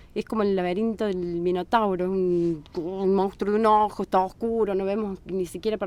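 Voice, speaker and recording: A woman's medium-pitched voice at a moderate pace. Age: 40s. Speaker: Bach flower therapist. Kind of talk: podcast interview. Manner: halting.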